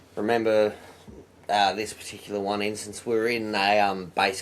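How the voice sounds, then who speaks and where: At a moderate pace, a man with an Australian accent speaks in a fairly low pitch. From Australia, Blue Mountains NSW. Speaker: truck driver, former firefighter. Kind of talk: casual chat.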